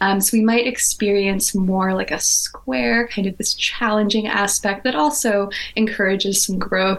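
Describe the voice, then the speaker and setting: A woman's fairly slow speech at medium pitch, with ordinary pitch variation and noticeable background noise. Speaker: evolutionary astrologer. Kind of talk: masterclass-style lecture in a conversation. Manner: articulate, rich vocabulary.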